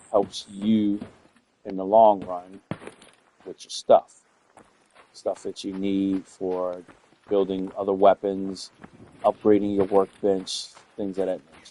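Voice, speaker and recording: A man with an American accent, fairly low pitch and monotone, flat intonation, at a very slow pace with long, frequent pauses and big swings in loudness, in a dry, close sound with no echo. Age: old. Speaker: gamer and streamer. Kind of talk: gameplay commentary. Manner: casual, conversational.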